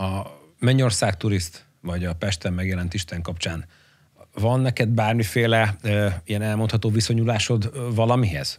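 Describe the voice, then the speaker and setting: At a moderate pace against a quiet background, a man with a plain, everyday voice speaks at a fairly low pitch with ordinary pitch variation. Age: 40s. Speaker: podcast co-host. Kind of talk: casual interview. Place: studio. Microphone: studio mic.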